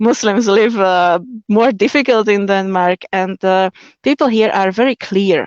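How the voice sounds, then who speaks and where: At a fairly slow pace, a woman with a Slovak accent speaks with very even loudness and ordinary pitch variation. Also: medium pitch for a woman. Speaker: convert sharing her marriage story. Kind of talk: interview on a live stream. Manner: halting, many fillers.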